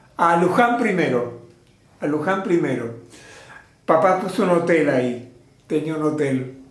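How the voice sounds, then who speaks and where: Amid noticeable background noise and audible room echo, a man speaks fairly slowly at a fairly high pitch. His speech has long, frequent pauses. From Argentina, Mercedes (Buenos Aires province). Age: 80s+. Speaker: theatre teacher and trainer of artists. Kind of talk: interview. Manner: halting.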